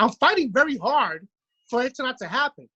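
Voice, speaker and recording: This man talks at a fairly quick pace with a Brooklyn accent. His pitch sits high. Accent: New York (Brooklyn). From New York City, Brooklyn. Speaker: podcast co-host. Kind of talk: casual chat. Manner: halting, repeats words.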